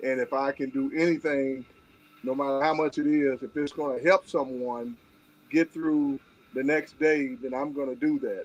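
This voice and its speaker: With fairly even intonation and a moderate pace, this is a normal speaking voice. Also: man, fairly high pitch for a man. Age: 60s. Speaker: guest on live stream. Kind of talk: casual chat.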